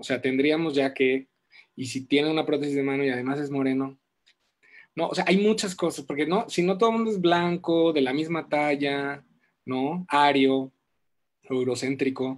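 Against a quiet background, a man with a fairly high pitch and ordinary pitch variation speaks at a moderate pace, leaving long, frequent pauses. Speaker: host of live creative talk series. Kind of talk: moderated panel interview, livestream. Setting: live online stream. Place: home room. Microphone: video call.

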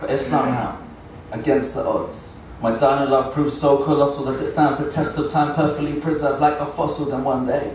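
A man at a fairly quick pace, monotone and flat, with audible room echo and light background noise. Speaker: performance poet. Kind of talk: spoken word poetry performance. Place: stage. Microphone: camera far.

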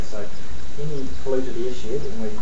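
A man talking at a moderate pace over noticeable background noise. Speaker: council presenter. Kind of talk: presentation of monitoring data. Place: meeting room. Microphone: podium.

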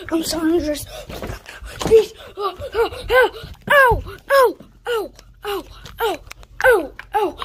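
This cartoonish character voice is extremely high-pitched. It moves at a very slow pace with long, frequent pauses. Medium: puppet.

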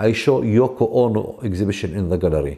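Over a quiet background, a man at medium pitch with a Palestinian accent speaks at a moderate pace in a dark, mellow tone with ordinary pitch variation. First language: Arabic. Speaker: artist and gallery founder. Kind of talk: interview. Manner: halting, many filler sounds. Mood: calm, reflective storytelling. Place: home room.

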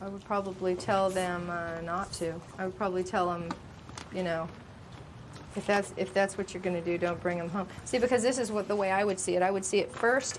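This is a woman with an American accent and an unremarkable speaking voice. Her pace is moderate and her intonation fairly even. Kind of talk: documentary interview. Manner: argumentative.

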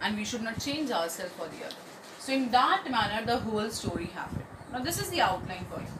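Noticeable background noise surrounds the recording. A woman talks at a fairly quick pace. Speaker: teacher. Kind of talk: lecture. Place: home room. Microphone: phone near.

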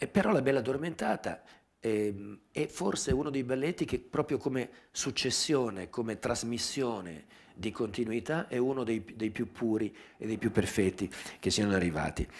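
At a moderate pace, a man speaks at medium pitch. His intonation is lively. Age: 60s. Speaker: dance journalist and magazine editor; dance journalist. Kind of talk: public talk with video commentary. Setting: theatre with live audience. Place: hall. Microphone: headset.

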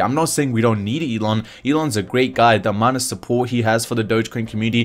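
A man's very fast speech at a medium pitch, with ordinary pitch variation. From New Zealand. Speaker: crypto YouTuber. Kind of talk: casual commentary video. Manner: animated.

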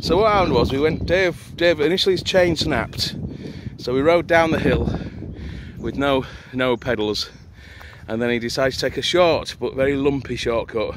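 There is noticeable background noise as a man speaks at a moderate pace with ordinary pitch variation and long, frequent pauses, in a dry sound with no echo. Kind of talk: casual vlog chat. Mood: amused, joking. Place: open country. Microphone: phone near.

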